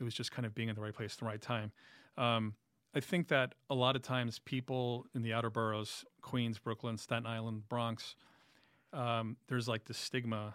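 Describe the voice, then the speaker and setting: With a New York accent, a man speaks at a medium pitch and moderate pace in a monotone, flat intonation, his voice dry and close with no echo on a very clean recording with a silent background. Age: 40s. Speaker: music writer and musician. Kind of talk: casual interview.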